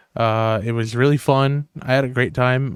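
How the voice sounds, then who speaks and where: The delivery comes at a moderate pace. Its intonation is monotone and flat. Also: man. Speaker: podcast host and youtuber. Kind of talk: casual podcast monologue. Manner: rambly, filler-heavy.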